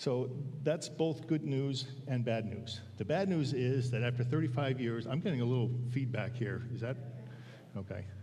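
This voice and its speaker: With audible room echo, a man speaks at a moderate pace and a medium pitch in a somewhat breathy voice with a dark, mellow tone. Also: ordinary pitch variation. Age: 60s. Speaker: church elder giving a sermon. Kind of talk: sermon. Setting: church pulpit with congregation. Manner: halting, many fillers.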